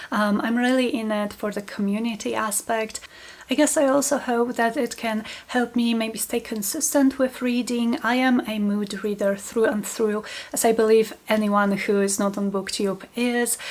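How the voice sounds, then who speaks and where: Over noticeable background noise, a woman with a Polish accent speaks at a fairly high pitch with fairly even intonation. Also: moderate pace. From Poland. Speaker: book channel host, small business owner. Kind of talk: casual vlog talk to camera.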